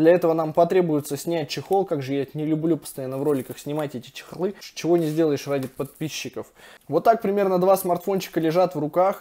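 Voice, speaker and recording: This man speaks very fast in a high, dark, mellow voice. His pitch moves with ordinary variation. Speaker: tech reviewer. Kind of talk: casual review commentary. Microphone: phone near.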